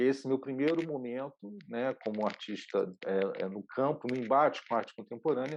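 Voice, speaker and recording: A man with an unremarkable speaking voice talks at a moderate pace and medium pitch. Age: 60s. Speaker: video artist and producer. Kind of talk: online lecture. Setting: online session.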